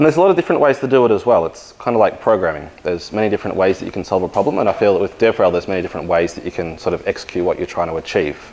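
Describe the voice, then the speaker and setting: A man with an Australian accent talks very fast, hardly pausing, his fairly low voice full of lively intonation. Noticeable background noise runs underneath. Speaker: engineering manager and conference speaker. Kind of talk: conference talk.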